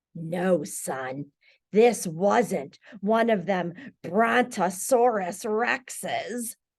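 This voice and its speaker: This is a put-on character voice that sounds female, raspy and middle-pitched. It moves at a very slow pace over a quiet background. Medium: read story. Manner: folksy, dramatic.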